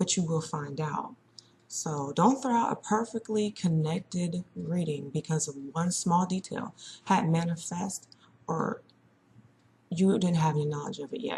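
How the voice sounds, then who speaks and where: Soft-spoken and fairly low in pitch, a woman talks at a fairly slow pace with ordinary pitch variation. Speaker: psychic reader. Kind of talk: casual monologue. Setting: at home, early morning. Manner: chatty.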